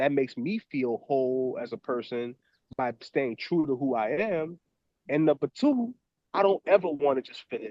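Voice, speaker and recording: Speaking with an American accent at a moderate pace, a man uses an animated tone, lively intonation and big swings in loudness. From New Orleans, Louisiana (US Deep South). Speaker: professor and documentary filmmaker. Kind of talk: podcast interview.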